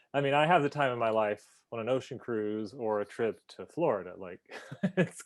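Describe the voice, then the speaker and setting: An unremarkable speaking voice moves at a moderate pace with lively intonation and big swings in loudness. The background is quiet. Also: man, medium pitch for a man. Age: 40s. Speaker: travel channel host. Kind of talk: interview.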